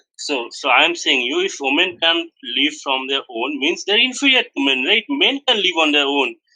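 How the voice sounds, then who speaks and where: Very wide pitch swings in a high male voice. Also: moderate pace. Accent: Bangladeshi. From Bangladesh. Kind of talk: heated debate.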